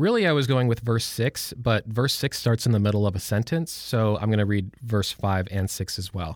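With an unremarkable speaking voice, a man talks at a fairly quick pace with hardly any pauses, his medium pitch showing ordinary variation. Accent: American. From Michigan, suburb of Detroit. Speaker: church staff member. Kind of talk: casual Bible discussion.

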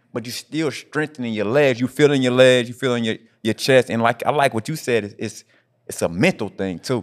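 In a very clean recording with a silent background and a dry, close sound free of echo, a man with an American accent talks at a fairly quick pace, his medium pitch showing ordinary variation. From Indianapolis, US Midwest. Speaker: fitness podcast host. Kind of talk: casual chat. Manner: animated.

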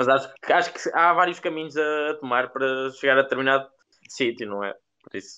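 At a fairly quick pace, a man talks in a bright, sharp tone at medium pitch with ordinary pitch variation. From central Portugal. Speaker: podcast co-host. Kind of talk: casual chat.

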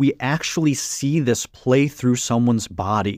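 A man with an ordinary speaking voice uses lively intonation at a fairly slow pace. The recording is very clean and dry, with a silent background and no echo, the sound close. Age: 30s. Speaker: author and spiritual teacher. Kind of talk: interview conversation.

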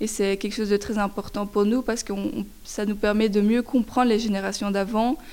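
A woman's fairly high voice at a moderate pace, flat and monotone in intonation. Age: 20s. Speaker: student climate activist. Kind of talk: interview testimony.

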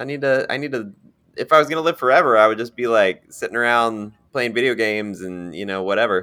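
Speaking at a very fast pace, a man uses a medium pitch with ordinary pitch variation and a bright, sharp tone. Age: 40s. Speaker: podcast co-host. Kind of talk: casual chat.

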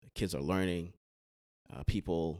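Over a dry, close sound with no echo, a man speaks in a very deep, low, monotone voice with vocal fry. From Haiti.

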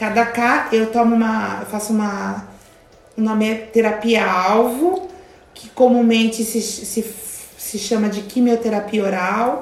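A woman with a fairly high pitch speaks at a very slow pace and with fairly even intonation. Audible room echo and noticeable background noise fill the recording. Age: 50s. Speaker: youtuber and cancer patient. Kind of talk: casual interview. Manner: halting.

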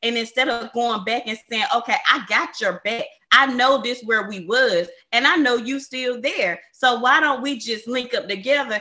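Here a woman speaks in a high pitch. Her pace is moderate and her pitch varies in an ordinary way. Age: 20s. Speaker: podcast host. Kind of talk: casual chat.

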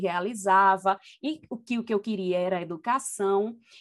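With a normal speaking voice, a woman talks at medium pitch, her pitch varying in an ordinary way. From Brazil, Recife (north zone). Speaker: university professor and researcher. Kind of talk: interview conversation.

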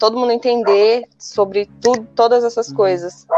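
Speaking at a fairly slow pace, a woman uses an ordinary speaking voice with fairly high pitch and ordinary pitch variation. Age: 20s. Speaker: environmental management graduate. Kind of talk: casual chat.

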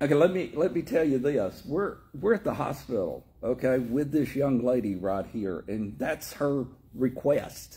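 In an American accent, a man speaks at a fairly slow pace with a dark, mellow, somewhat breathy tone and lively intonation. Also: medium pitch for a man. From Tennessee. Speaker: church teacher and prayer leader. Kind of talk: sermon and prayer. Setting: church.

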